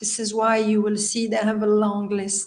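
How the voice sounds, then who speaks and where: In a French accent, a woman speaks at a moderate pace with medium pitch. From Belgium. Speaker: healer and life coach. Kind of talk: interview.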